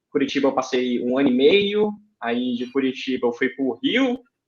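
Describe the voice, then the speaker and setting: With a Ceará accent, a man speaks at a fairly high pitch using lively intonation. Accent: Cearense (northeastern Brazilian). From Brazil, Ceará (Fortaleza). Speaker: aeronautical engineer. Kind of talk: podcast interview.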